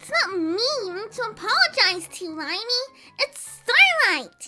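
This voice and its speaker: A female-sounding, put-on character voice with an extremely high pitch moves at a moderate pace. Faint music plays in the background. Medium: read story. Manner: excitable.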